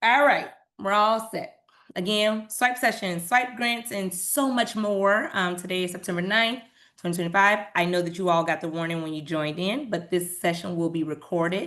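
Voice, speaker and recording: The background is quiet as a woman speaks at a medium pitch. Her tone is bright and sharp, with ordinary pitch variation. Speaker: nonprofit program staff presenter. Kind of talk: webinar presentation. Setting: video call. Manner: fast.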